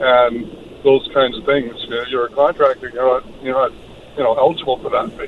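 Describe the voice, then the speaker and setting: With noticeable background noise behind him, a man of medium pitch speaks at a moderate pace with fairly even intonation. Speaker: caller. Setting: phone call. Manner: casual, hesitant.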